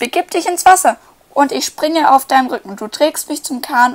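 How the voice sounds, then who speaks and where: A woman in a high, put-on character voice at a moderate pace. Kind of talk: bedtime story. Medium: read story. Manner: eager, brisk.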